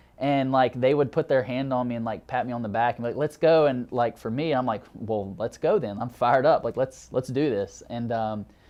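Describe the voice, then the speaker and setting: A man with a Southern US accent speaks at a fairly quick pace with hardly any pauses. His pitch is medium, with ordinary variation. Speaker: graduate counseling student. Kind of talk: interview testimony.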